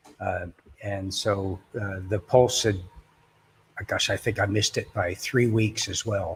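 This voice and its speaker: Somewhat breathy and fairly low in pitch, a man speaks at a fairly slow pace with fairly even intonation. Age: 60s. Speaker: construction worker and crypto investor. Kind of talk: casual chat. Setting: livestream. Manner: halting.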